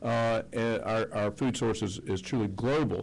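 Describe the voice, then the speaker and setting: A man talks with a Mississippi accent. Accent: Southern US (Mississippi). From US South, Mississippi. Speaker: panel moderator. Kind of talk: panel discussion.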